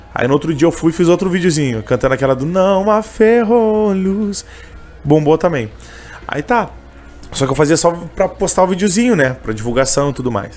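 Music plays behind a man speaking at a moderate pace and high pitch, with very wide pitch swings and long, frequent pauses. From Canoas, Rio Grande do Sul, Brazil. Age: 20s. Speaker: street vendor and gospel singer. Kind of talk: interview, casual chat. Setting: radio studio, live on YouTube.

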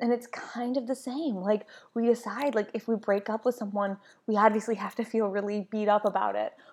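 This woman has a normal speaking voice pitched fairly high. She talks at a fairly quick pace with fairly even intonation. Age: 30s. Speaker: podcast host, yoga instructor and doula. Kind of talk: casual solo podcast monologue.

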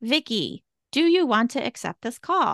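Over a quiet background, a woman speaks fairly slowly in a bright, sharp tone with very wide pitch swings and a dry, close sound with no echo. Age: 40s. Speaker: podcast co-host. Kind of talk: casual chat.

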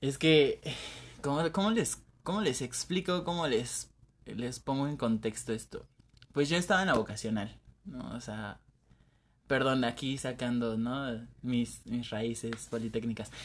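There are long, frequent pauses as a man talks at a medium pitch with ordinary pitch variation. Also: fairly slow pace. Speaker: podcast co-host. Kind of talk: casual chat.

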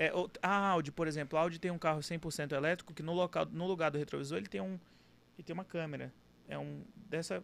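This man's voice sits at a fairly high pitch with ordinary pitch variation. He talks at a very fast pace. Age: 20s. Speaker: car dealership owner. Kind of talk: casual interview.

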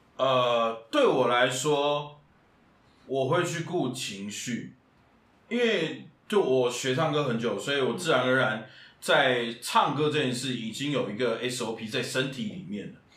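Audible room echo fills the space around a man's voice. He talks very slowly. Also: medium pitch for a man, ordinary pitch variation. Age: 30s. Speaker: musical theatre actor and singer. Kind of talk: casual interview chat.

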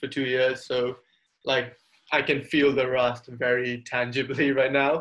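This is a man speaking at a fairly high pitch. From Singapore. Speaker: college student. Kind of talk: interview. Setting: video call.

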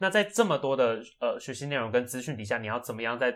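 A man talks at a very fast pace and a medium pitch. His pitch varies in an ordinary way. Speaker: medical student podcast co-host. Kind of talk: casual chat.

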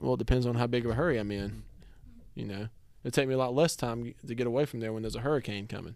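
Speech comes at a very fast pace with a Southern US accent and fairly even intonation. The recording is very clean, with a silent background. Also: man, medium pitch for a man. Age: 20s. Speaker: podcast host. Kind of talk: casual chat.

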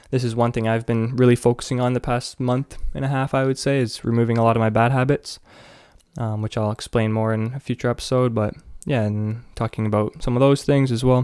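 A man with a Canadian accent, fairly quick and monotone with flat intonation, in a very clean recording with a silent background and a dry, close sound with no echo. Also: medium pitch for a man. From Canada. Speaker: podcast host, university student. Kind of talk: solo podcast monologue. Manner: casual with frequent fillers.

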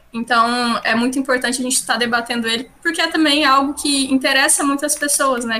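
A woman speaks at a very fast pace in a high, raised and projected voice with fairly even intonation. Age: 20s. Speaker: social sciences student and parliamentary aide. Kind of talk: podcast interview. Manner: hesitant, many filler sounds.

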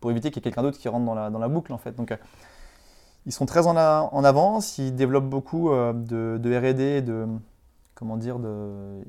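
A man talks at a moderate pace in an ordinary speaking voice, with ordinary pitch variation. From France, Vendée. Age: 30s. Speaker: marketing agency director. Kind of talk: interview.

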